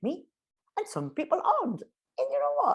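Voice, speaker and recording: A woman with a Geordie accent, animated in tone and fairly quick in pace. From northeast England (Newcastle). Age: 50s. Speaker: business communication consultant. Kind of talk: interview.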